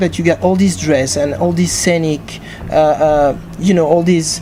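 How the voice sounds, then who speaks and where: In a French accent, a woman with a fairly low pitch speaks at a moderate pace over noticeable background noise. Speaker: interviewer. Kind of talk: interview. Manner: halting.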